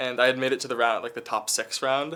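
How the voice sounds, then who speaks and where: A man talks at a fairly quick pace with a Californian accent. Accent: Californian American. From California, Santa Monica. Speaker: college student. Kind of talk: interview storytelling.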